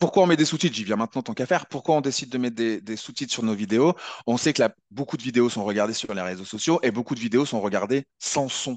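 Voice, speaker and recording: A man with a medium-pitched voice talks very fast with hardly any pauses and ordinary pitch variation, recorded dry and close with no echo against a quiet background. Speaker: video editing trainer. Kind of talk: webinar tutorial. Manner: halting.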